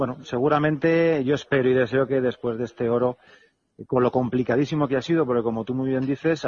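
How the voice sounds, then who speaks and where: A man with medium pitch talks at a very fast pace. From Spain, Alicante. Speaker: retired basketball player. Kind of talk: interview. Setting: phone call.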